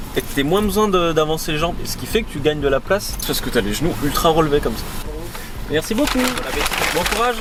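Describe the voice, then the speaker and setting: A man talks loudly at a fairly quick pace with music in the background. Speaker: YouTuber. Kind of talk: casual vlog chat. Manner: loud, jovial.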